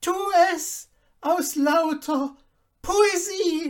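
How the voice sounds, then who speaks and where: An extremely high-pitched, put-on character voice. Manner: theatrical.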